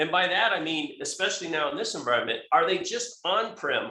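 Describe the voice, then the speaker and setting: A man talking at a fairly quick pace. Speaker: company tech expert presenter. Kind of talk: webinar presentation. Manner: fast; hesitant, many fillers and restarts.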